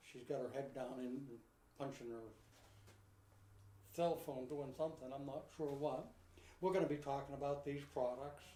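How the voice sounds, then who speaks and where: A man's fairly high, somewhat breathy voice with a dark, mellow tone and fairly even intonation, broken by long, frequent pauses amid audible room echo. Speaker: pigeon supply company host. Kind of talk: live online show, casual. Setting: live video broadcast. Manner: fast.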